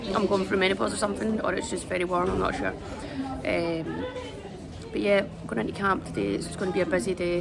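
Crowd noise fills the background. A woman talks at a very fast pace. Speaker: athlete vlogger. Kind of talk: casual vlog chat. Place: station. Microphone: phone near.

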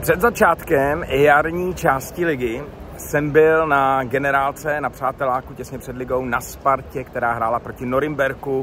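Over light background noise, a man speaks at a moderate pace with fairly even intonation, in a dry sound with no echo. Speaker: football fan vlogger. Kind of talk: casual vlog chat. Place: street. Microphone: phone near.

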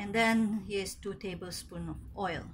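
Her speech moves at a fairly slow pace. Behind the woman, there is light background noise. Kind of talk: tutorial. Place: kitchen. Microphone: phone near.

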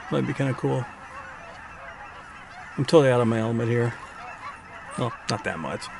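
A man speaks with fairly even intonation. The sound is dry with no echo, and there is noticeable background noise. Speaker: wildlife photographer vlogger. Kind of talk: casual vlog chat. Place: car. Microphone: phone near.

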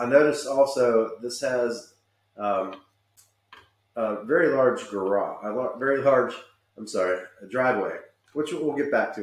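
Audible room echo is present. A man speaks with ordinary variation in his pitch. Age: 40s. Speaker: real estate agent. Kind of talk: virtual home tour narration. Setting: screen-share video. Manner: casual and chatty. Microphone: webcam.

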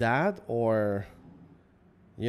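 A man with a Quebec accent talks at a medium pitch with fairly even intonation. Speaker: business co-founder. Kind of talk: casual chat.

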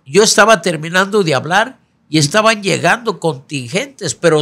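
A man talks in a high pitch with very wide pitch swings. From Mexico, Guerrero. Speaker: politician, senate candidate; candidate. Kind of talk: interview. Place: studio. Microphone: studio mic.

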